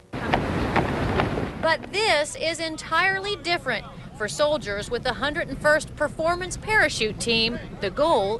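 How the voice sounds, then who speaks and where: A woman speaks at a fairly slow pace with a high pitch and very wide pitch swings. Noticeable background noise runs underneath. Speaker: TV news reporter. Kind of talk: live TV news report.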